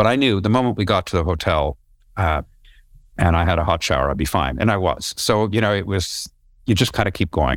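In a Canadian accent, a man speaks with very deep, low pitch, vocal fry and lively intonation at a fairly quick pace. His loudness stays very even, and the recording is very clean with a silent background. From Canada, Toronto. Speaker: tech company founder and former broadcast journalist. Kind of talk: interview.

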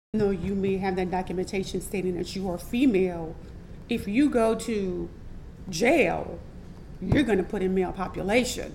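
Woman with a New Orleans accent at medium pitch and moderate pace, with ordinary pitch variation. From New Orleans, Louisiana. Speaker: transgender entertainer and model. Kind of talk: interview testimony.

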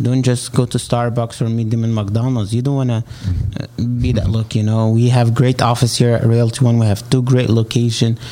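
Amid noticeable background noise, a man with an Egyptian accent talks at a fairly quick pace and medium pitch with monotone, flat intonation. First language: Arabic. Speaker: real estate agent. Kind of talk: interview.

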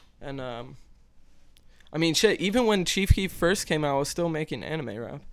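In an American accent, a normal speaking voice moves at a moderate pace with lively intonation. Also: man, fairly high pitch for a man. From Maryland. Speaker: musician. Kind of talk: casual chat.

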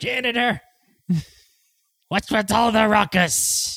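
Pitched fairly high, a put-on character voice unfolds at a fairly slow pace.

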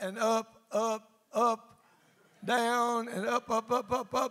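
Speaking at a very slow pace, a man uses an extremely high pitch and a Mississippi accent. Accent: Southern US (Mississippi). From US South, north Mississippi. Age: 70s. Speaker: pastor. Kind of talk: sermon. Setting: church. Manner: animated.

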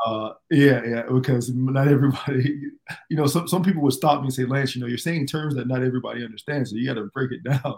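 At a very fast pace, a man with an American accent talks in a medium, somewhat breathy voice with fairly even intonation. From US South, Fort Myers, Florida, Jamaican background. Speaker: former pro basketball player, entrepreneur. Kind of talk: interview, personal story.

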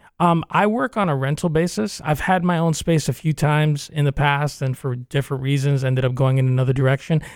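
A man with a normal speaking voice, fairly high in pitch, with ordinary pitch variation, a fairly quick pace, hardly any pauses and very even loudness, in a dry, close sound with no echo. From New York, Cuban-American family. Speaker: theater artistic director. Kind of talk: radio interview.

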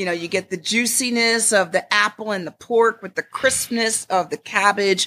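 Speaking with an American accent at a moderate pace with hardly any pauses, a woman has a medium-pitched, bright, sharp tone and ordinary pitch variation on a very clean recording with a silent background. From Connecticut, US Northeast. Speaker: chef. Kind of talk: interview.

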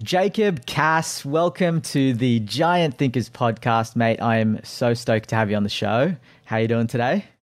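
A man speaks at a moderate pace with hardly any pauses, his medium-pitched voice carrying lively intonation. Loudness stays very even on a very clean recording with a silent background. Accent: Australian. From Australia (Sydney). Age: 30s. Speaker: podcast host. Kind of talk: interview; scripted narration.

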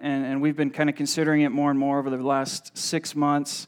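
The speaker is a man with a fairly high pitch. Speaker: pastor. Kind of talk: sermon. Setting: church. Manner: hesitant, filler-heavy.

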